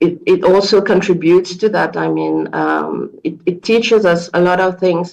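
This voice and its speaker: A woman speaks with a French accent. Her pace is moderate. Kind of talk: question at an online meeting. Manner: halting.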